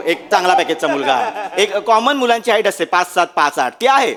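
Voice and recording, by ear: A man speaks with very wide pitch swings and very even loudness.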